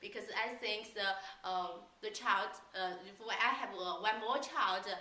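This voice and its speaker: A woman's fairly high voice at a fairly slow pace, with audible room echo and noticeable background noise. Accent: Chinese. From China. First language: Chinese. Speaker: language school staff. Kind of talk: casual interview. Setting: on camera. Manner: halting.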